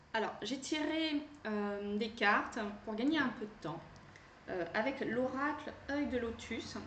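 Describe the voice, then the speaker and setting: A woman's high-pitched voice with lively intonation at a very slow pace, long, frequent pauses, audible room echo and noticeable background noise. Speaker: tarot card reader and energy healer. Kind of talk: card reading guidance. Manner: hesitant, many fillers.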